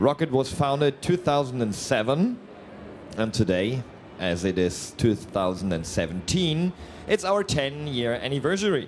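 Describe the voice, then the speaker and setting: Medium-pitched male voice with very wide pitch swings at a moderate pace, over noticeable background noise. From Germany. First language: German. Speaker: company representative presenting products. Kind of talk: live product presentation. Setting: trade fair booth, live stream. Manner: hesitant, many fillers.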